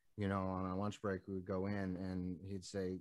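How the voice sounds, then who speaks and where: A man's very deep, low voice at a fairly quick pace, monotone and flat in intonation. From Nevada, US West (small town). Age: 30s. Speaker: musician. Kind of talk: interview. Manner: halting, many fillers.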